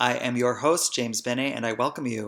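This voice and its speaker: A man with an American accent has medium pitch, a bright, sharp tone, vocal fry and fairly even intonation. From New Jersey, Hoboken. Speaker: podcast host, spiritual healer. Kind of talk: podcast monologue, personal storytelling.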